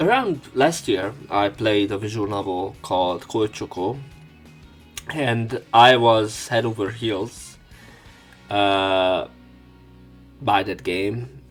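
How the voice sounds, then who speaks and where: A man speaks at a very slow pace, with long, frequent pauses and music in the background. His pitch is fairly low, with ordinary pitch variation. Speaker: let's play commentator and narrator. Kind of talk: casual talk to camera.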